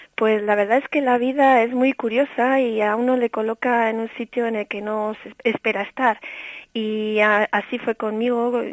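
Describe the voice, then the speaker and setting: In a dry, close sound with no echo and a quiet background, a woman talks at a fairly high pitch with monotone, flat intonation. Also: moderate pace. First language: bilingual English and Spanish (speaking Spanish). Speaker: early childhood education specialist. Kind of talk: interview.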